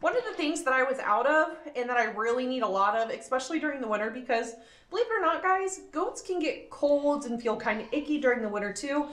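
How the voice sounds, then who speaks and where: Very fast and high-pitched, a woman speaks with lively intonation while room echo is audible. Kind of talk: casual vlog chat. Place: farm machine. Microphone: phone near.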